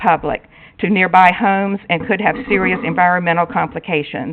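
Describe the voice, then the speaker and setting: A woman with an American accent, an unremarkable speaking voice at medium pitch, fairly even intonation and a fairly quick pace. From North Carolina, Wake County. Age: 60s. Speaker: resident speaking at public hearing. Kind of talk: public comment at council meeting, prepared statement. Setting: town council meeting.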